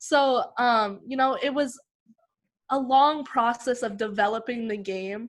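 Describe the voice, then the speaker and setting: Against a quiet background, a woman with a Western Canadian accent speaks in a high voice. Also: ordinary pitch variation, fairly slow pace. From Canada, British Columbia (Lower Mainland). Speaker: basketball player. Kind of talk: interview.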